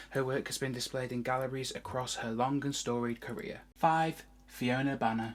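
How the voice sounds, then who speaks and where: A woman with a British accent speaks at a moderate pace in a very clean recording with a silent background. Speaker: arts video presenter. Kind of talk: scripted presentation.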